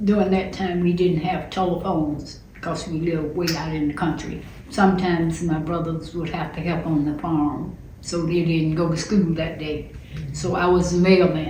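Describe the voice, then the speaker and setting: With an American accent, a woman talks at a moderate pace in a fairly low pitch and monotone, flat intonation, with audible room echo and noticeable background noise. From US South, rural southwest Georgia. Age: 70s. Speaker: interviewee telling her family story. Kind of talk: oral history interview.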